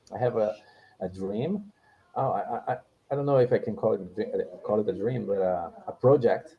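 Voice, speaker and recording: With a Portuguese accent, a man speaks at a moderate pace, broken by long, frequent pauses. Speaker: English learner. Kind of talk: casual chat. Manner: halting, many repetitions.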